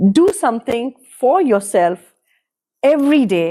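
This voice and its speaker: With a Kannada accent, a woman talks in a high pitch with a dark, mellow tone and very wide swings in pitch. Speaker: podcast guest. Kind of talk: casual interview conversation.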